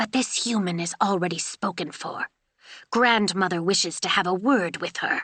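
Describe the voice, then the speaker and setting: A female-sounding voice does a growling, put-on character voice at a medium pitch. The pace is moderate. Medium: read story. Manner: curt, a bit snarly.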